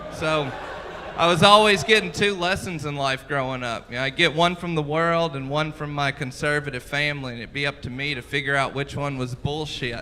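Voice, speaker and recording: A man with an American accent speaks at a fairly high pitch with ordinary pitch variation. Noticeable background noise runs underneath. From US South, Mississippi. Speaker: stand-up comedian. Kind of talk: stand-up. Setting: comedy club stage with audience.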